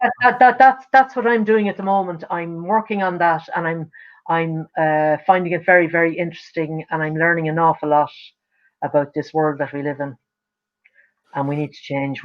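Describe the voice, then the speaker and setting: Speaking in an Irish accent at a moderate pace, this woman has a fairly low pitch, lively intonation and big swings in loudness. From Ireland. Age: 70s. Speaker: singer-songwriter. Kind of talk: casual chat. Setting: livestream video call.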